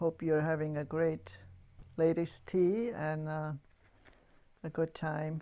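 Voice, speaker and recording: A woman with a German accent, her voice very deep and low with a dark, mellow tone, very slow, with long, frequent pauses and ordinary pitch variation. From Yugoslavia, German-speaking community. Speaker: church member giving testimony. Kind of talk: testimony. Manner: halting.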